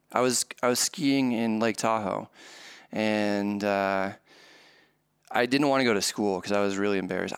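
An ordinary speaking voice moves at a moderate pace with ordinary pitch variation. The recording is very clean, with a silent background. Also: man. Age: 30s. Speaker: poker vlogger. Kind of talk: interview.

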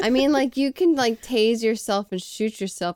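This woman has a normal speaking voice and lively intonation, delivered at a moderate pace. The sound is dry and close, with no echo. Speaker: podcast co-host. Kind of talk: casual banter podcast chat.

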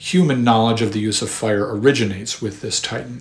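A man talks at a very fast pace in a fairly low voice with ordinary pitch variation. Noticeable background noise is present. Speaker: podcast host and history narrator. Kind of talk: history documentary narration, measured and lecture-like. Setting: studio podcast recording. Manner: formal, measured, scholarly; even-paced and explanatory.

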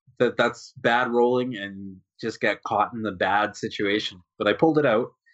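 A man with a Canadian accent has an unremarkable speaking voice at medium pitch. He talks at a moderate pace. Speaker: wargaming podcast co-host. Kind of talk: casual chat.

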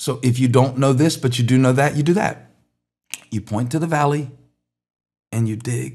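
A somewhat breathy man with a medium-pitched voice speaks at a moderate pace with ordinary pitch variation. He pauses long and often, with audible room echo. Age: 50s. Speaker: pastor. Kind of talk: sermon. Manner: animated.

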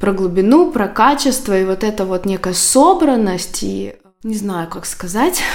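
Against noticeable background noise, a woman with a medium pitch talks at a fairly slow pace with lively intonation. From Belarus, Minsk. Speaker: personal branding consultant. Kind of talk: casual chat. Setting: kitchen, in person.

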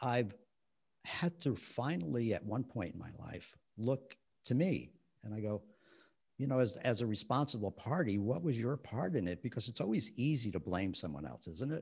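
Somewhat breathy, a man of medium pitch talks at a moderate pace with very wide pitch swings. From New Jersey, West New York. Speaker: author and relationship counselor. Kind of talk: interview conversation.

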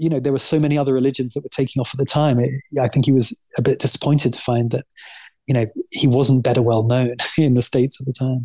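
A man with an American accent, very fast, somewhat breathy, with a dark, mellow tone, medium pitch and fairly even intonation. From England, Essex. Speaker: writer and author. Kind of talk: interview.

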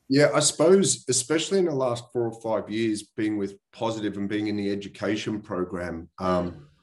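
The delivery comes at a fairly quick pace with hardly any pauses. The voice has an Australian accent and ordinary pitch variation. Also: man, fairly low pitch for a man. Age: 40s. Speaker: property investor. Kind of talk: interview. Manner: casual.

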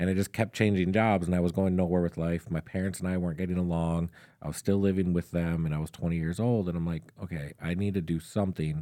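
A man speaks very fast with an American accent, hardly any pauses and fairly even intonation. His very deep, low pitch has a dark, mellow tone, and the recording is very clean with a silent background. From Minnesota. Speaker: army recruiter. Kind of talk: casual interview. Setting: studio.

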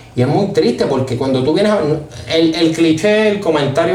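In a Puerto Rican accent, a man speaks at a fairly high pitch, with audible room echo and noticeable background noise. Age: 20s. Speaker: podcast host. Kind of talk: casual solo monologue.

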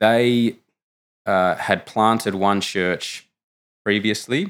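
On a very clean recording with a silent background, an Australian-accented man speaks very slowly at a fairly low pitch with ordinary pitch variation. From Australia, Canberra. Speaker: theology student. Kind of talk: interview.

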